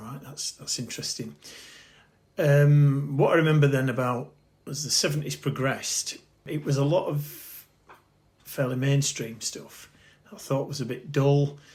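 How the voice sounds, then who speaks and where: This man's voice is fairly high in pitch and somewhat breathy. He keeps to a moderate pace. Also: big swings in loudness. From northern England, Bradford. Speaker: interviewee recalling punk youth. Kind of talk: casual interview, reminiscing. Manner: hesitant, many fillers.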